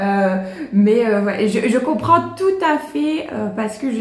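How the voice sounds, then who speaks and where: A woman is speaking. Noticeable background noise and audible room echo surround her voice. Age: 30s. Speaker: plant YouTuber. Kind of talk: casual Q&A vlog. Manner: hesitant, many fillers; chatty.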